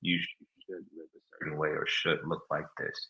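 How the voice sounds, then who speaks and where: The speaker is a man. His pace is moderate. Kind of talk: casual chat. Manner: low, subdued voice.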